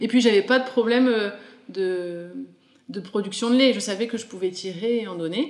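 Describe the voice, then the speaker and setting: This woman speaks at a moderate pace in a fairly high voice with ordinary pitch variation. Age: 30s. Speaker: mother sharing breastfeeding story, small business owner. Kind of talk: testimony.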